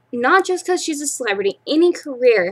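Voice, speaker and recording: A woman's voice swings very widely in pitch. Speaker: vlogger, aspiring actress. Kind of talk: casual vlog monologue. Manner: halting, stuttering.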